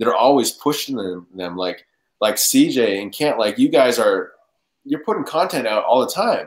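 A man's voice, medium in pitch, at a moderate pace, with a slightly husky edge. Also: lively intonation.

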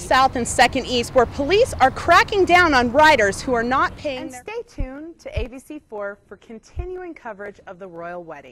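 Over light background noise, a woman with a high-pitched voice talks at a fairly quick pace, her pitch swinging very widely. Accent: American. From United States. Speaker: TV news reporter. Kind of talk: TV news report.

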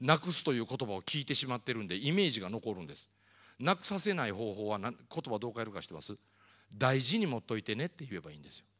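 A man's bright, sharp voice at a very fast pace, with very wide pitch swings and big swings in loudness over a quiet background. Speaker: motivational speaker. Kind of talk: lecture. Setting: stage with audience. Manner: animated. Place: hall. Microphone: handheld.

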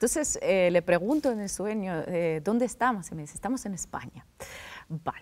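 At a moderate pace, a woman with a medium pitch makes very wide pitch swings and big swings in loudness. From Russia. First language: Russian (speaking Spanish). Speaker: political journalist. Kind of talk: interview. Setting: studio.

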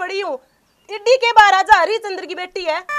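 Against a quiet background, a woman speaks at an extremely high pitch. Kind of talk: acted dramatic dialogue. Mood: complaining, irritated. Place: open country.

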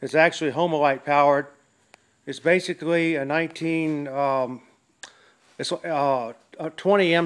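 A man speaks with fairly even intonation. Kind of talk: casual show-and-tell commentary. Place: workshop. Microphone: phone near.

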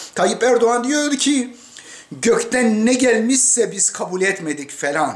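Very slow delivery here. The intonation is lively. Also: man. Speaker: commentator. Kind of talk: political commentary. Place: home room. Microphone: webcam.

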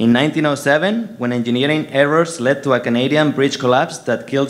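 At a moderate pace, a man with a Spanish accent speaks at a fairly high pitch with ordinary pitch variation. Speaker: engineering professor giving a ceremony speech. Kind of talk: formal speech. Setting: stage. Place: hall.

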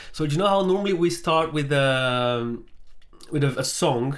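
The pitch shows ordinary variation. The pace is moderate. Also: man.

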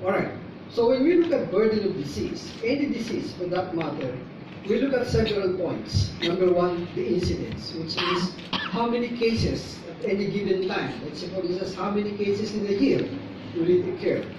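A man with a high pitch speaks at a moderate pace and ordinary pitch variation. Audible room echo and noticeable background noise surround him. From Philippines. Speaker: neurology professor. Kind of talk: conference lecture. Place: hall. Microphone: camera far.

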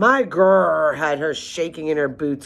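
A put-on character voice growls at a middle pitch. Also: moderate pace. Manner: growling, boastful.

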